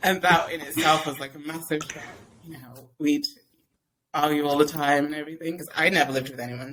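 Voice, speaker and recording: A woman speaks with an English accent in a very deep, low pitch and a monotone, flat intonation. Her pace is fairly quick, with big swings in loudness. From England. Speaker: podcast guest, mom blogger. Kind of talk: casual chat.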